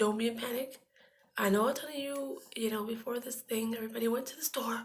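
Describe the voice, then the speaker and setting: This woman's fairly high voice has vocal fry. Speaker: beauty vlogger. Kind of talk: casual vlog chat. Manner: halting, many fillers.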